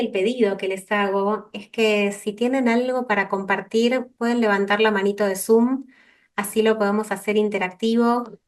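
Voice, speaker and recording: Her voice sits at a medium pitch for a woman. The intonation is monotone and flat. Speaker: counselor and focusing trainer. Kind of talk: online workshop talk. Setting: video call. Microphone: too quiet at first.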